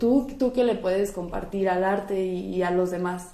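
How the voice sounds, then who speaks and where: In a room with audible echo, a woman talks at a medium pitch with a dark, mellow tone. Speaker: art student. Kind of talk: casual chat.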